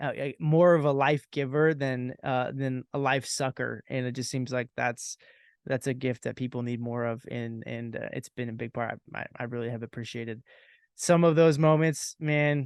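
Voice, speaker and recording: Against a quiet background, a man speaks with a medium pitch and fairly even intonation at a moderate pace, in a dry, close sound with no echo. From US Pacific Northwest. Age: 30s. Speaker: podcast host. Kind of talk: casual chat. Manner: halting.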